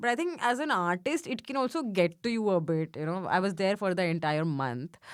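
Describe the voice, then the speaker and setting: In a very clean recording with a silent background, a woman with a strong Indian accent speaks at a moderate pace in a fairly low pitch with very wide pitch swings. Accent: thick Indian. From India, Mumbai. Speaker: stand-up comedian. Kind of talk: casual chat. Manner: halting, many fillers.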